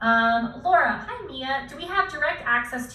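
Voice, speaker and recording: Her intonation lively, a woman speaks amid audible room echo and noticeable background noise. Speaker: online course creator. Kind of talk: live stream Q&A. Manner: fast; filler words.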